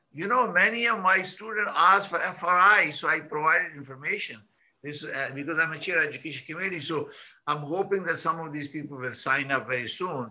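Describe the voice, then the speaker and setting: A man talks at a fairly quick pace with fairly high pitch and ordinary pitch variation. There is audible echo in the room. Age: 60s. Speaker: real estate broker and conference host. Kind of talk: online conference presentation. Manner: halting, with frequent fillers and repetitions.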